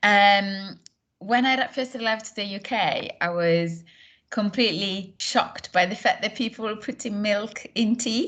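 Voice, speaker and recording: With an Italian accent, a woman speaks at a fairly high pitch and a fairly slow pace, showing ordinary pitch variation over a quiet background. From northern Italy, near Milan. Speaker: course tutor. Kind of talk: casual chat.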